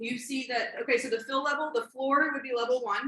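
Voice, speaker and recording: A woman's raised, projected voice, high-pitched, at a fairly quick pace with ordinary pitch variation. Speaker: robotics coach trainer. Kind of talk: training workshop presentation. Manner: fast; halting, many fillers.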